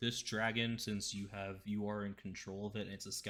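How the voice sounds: Fairly even intonation in a natural reading voice.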